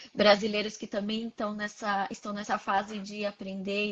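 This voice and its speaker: A woman with an unremarkable speaking voice talks at a medium pitch. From Brazil, Santos (São Paulo). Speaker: psychologist. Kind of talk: casual interview. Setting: live stream video call.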